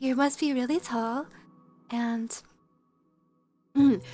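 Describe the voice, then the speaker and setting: This woman talks at a fairly slow pace. Music plays behind her. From Canada. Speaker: streamer and musician. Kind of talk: casual chat. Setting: livestream.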